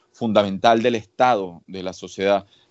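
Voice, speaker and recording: With flat, monotone intonation, a man keeps a moderate pace. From Venezuela. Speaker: researcher. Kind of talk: interview.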